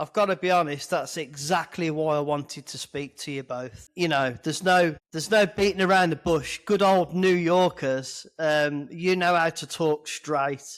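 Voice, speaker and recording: In a British accent, a man with a fairly high pitch talks at a moderate pace with fairly even intonation, recorded very cleanly against a silent background. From Britain. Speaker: podcast host. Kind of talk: interview.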